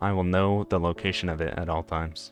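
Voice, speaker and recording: A man's very deep, low voice at a moderate pace, with music in the background. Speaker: gamer. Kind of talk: casual gameplay commentary.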